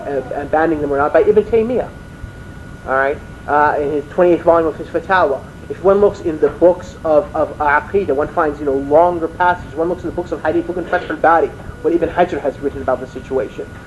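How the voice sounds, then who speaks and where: At a very fast pace, a man with a fairly high voice keeps his intonation fairly even over noticeable background noise. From Washington DC, USA. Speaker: Islamic lecturer. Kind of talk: religious lecture.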